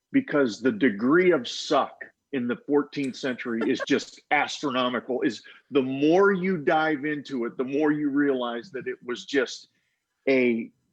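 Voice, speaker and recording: Speaking fairly slowly with ordinary pitch variation, a man has a plain, everyday voice at a fairly high pitch. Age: 50s. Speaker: author. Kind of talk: casual panel discussion.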